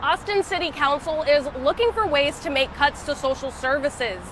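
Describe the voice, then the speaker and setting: Against noticeable background noise, a woman speaks in a high pitch with lively intonation. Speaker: broadcast news reporter / multimedia journalist. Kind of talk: news standups, reporter stand-up style. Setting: outdoors, on-location standups.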